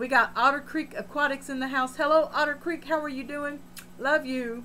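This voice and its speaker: A raised, projected voice with a bright, sharp tone, fairly even intonation and a moderate pace. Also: woman, high pitch for a woman. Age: 60s. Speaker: aquarium hobbyist live streamer. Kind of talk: live stream chat, reading comments. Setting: home fish room.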